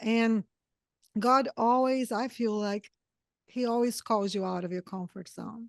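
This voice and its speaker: Against a quiet background, a woman with a Brazilian accent and a fairly high pitch speaks at a fairly slow pace with fairly even intonation in a dry, close sound with no echo. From southern Brazil. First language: Portuguese. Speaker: podcast host. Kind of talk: interview.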